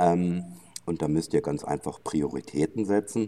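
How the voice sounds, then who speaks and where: Intonation is lively here. The tone is dark and mellow, and the pace moderate. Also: man. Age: 60s. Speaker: gin distiller. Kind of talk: casual chat. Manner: halting, many filler sounds.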